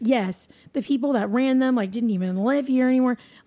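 A woman with an American accent talks at a fairly quick pace. Her tone is dark and mellow, with ordinary pitch variation. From New Hampshire, US. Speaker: pop singer-songwriter and producer. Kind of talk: casual chat.

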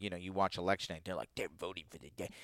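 Very fast and animated, a man talks with an American accent in a dry, close sound with no echo, recorded very cleanly against a silent background. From Virginia, US. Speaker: comedian. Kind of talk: casual chat.

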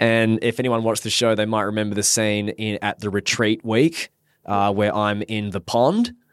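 A man with an Australian accent speaks at a moderate pace in a dry, close sound with no echo. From Perth, Western Australia. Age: 30s. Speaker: marriage celebrant and reality TV contestant. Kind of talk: casual chat.

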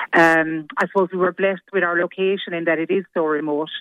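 A Limerick accent, with fairly even intonation at a fairly quick pace. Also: woman. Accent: Irish, Limerick. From Limerick, Ireland. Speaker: hairdresser, salon owner. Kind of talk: casual radio interview by phone. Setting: phone call.

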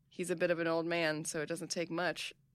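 A woman with a normal speaking voice, fairly low in pitch, at a fairly quick pace. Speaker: podcast host. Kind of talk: casual chat.

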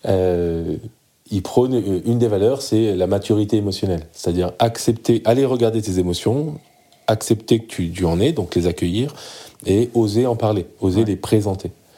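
This man has a dark, mellow tone and a fairly low pitch. He talks at a moderate pace with ordinary pitch variation. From Lebanon, raised in France. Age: 40s. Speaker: men's group facilitator. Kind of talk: casual chat.

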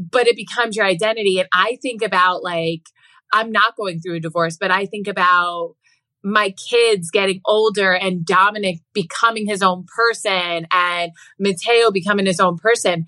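A woman with a plain, everyday voice speaks in an American accent at medium pitch and a moderate pace. Her intonation is fairly even, and the sound is dry and close with no echo. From New Jersey Shore. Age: 30s. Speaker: podcast guest, mother. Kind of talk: casual chat.

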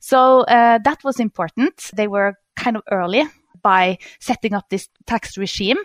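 In a Norwegian accent, a woman speaks at a fairly slow pace with a fairly high pitch and ordinary pitch variation. The sound is dry and close, with no echo. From Norway. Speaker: economist. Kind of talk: interview. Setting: remote call. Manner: halting with fillers.

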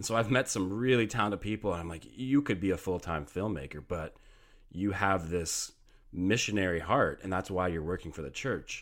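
This man has a very deep, low pitch, ordinary pitch variation and a fairly quick pace. The recording is very clean, with a silent background. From Canada. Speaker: video producer. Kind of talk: interview.

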